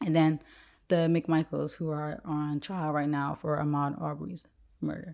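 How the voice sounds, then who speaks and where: The recording is very clean, with a silent background. A woman speaks in a dark, mellow tone at a very deep, low pitch. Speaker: podcast co-host. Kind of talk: casual podcast commentary.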